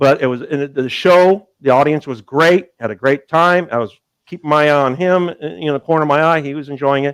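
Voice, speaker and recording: Using an ordinary speaking voice, a man with an American accent talks at a fairly quick pace and a fairly high pitch, with ordinary pitch variation, hardly any pauses and a dry, close sound with no echo. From Southern California, Long Beach. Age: 60s. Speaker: comedian and magician. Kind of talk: casual interview chat.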